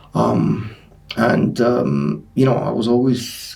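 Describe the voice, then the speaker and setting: With a Greek Cypriot accent, a man speaks amid audible room echo. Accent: Greek Cypriot accent, mocked in the US. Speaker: sport scientist and personal trainer. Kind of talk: podcast interview. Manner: hesitant, many fillers.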